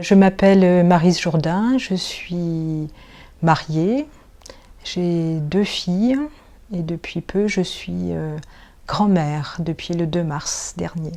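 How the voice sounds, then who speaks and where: A fairly low-pitched woman's voice with a dark, mellow tone, very slow pace and long, frequent pauses. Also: ordinary pitch variation. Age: 50s. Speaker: nursing assistant, church lay associate. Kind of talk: testimony interview.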